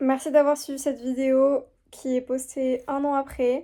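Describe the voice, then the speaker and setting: The speaker is a woman. She talks with a high pitch. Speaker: student vlogger. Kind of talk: casual vlog. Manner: hesitant, many fillers.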